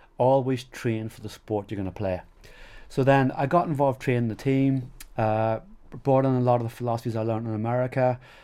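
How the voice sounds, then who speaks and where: A man with a Northern Irish accent speaks in a dark, mellow tone at a medium pitch with fairly even intonation. The recording is very clean with a silent background. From Northern Ireland. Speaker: strength and conditioning coach. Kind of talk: podcast interview. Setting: in-person recording in Belfast.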